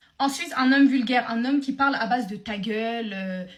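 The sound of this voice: Heard with audible room echo, a woman speaks at a fairly high pitch. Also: ordinary pitch variation, moderate pace.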